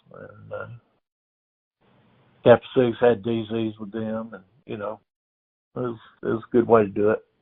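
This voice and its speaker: A man speaks with a Georgia accent. His pace is moderate. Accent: Georgia Southern US. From US South. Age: 70s. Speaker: oral history interviewee. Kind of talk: oral history interview.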